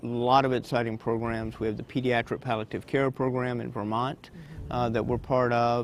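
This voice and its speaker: Someone talks at a moderate pace with an American accent and ordinary pitch variation. Background noise is noticeable. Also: man. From Virginia. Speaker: hospice director. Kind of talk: interview. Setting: restaurant.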